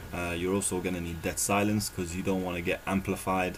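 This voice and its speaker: Speaking fairly quickly, a man with a very deep, low voice keeps a monotone, flat intonation. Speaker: gaming youtuber. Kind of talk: tutorial. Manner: casual with many fillers.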